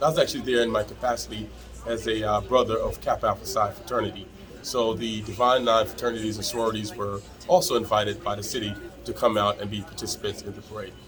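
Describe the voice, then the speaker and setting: Very rapid speech over background music. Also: man. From Jamaica, raised in Trenton, New Jersey. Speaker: attorney and local politician. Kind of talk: interview.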